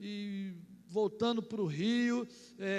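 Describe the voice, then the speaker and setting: The voice has an animated tone and a Carioca accent. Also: man. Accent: Carioca (Rio) accent, still noticeable. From Rio de Janeiro, Brazil. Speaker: pastor. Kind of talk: sermon.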